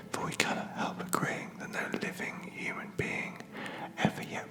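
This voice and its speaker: A man is whispering at a fairly slow pace. Noticeable background noise can be heard. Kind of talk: poetry reading, ASMR sleep. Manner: whispered.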